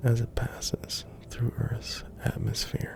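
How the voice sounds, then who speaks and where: Someone whispers at a very slow pace. Music plays in the background. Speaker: ASMR content creator. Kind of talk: ASMR sleep-aid fact narration. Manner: soft-spoken, whispered.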